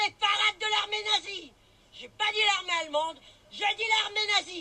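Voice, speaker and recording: A woman uses a raised, projected voice at an extremely high pitch, bright and sharp in tone, with ordinary pitch variation. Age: 60s. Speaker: street protester. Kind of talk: impromptu street rant to camera. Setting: outdoors on a street. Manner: animated.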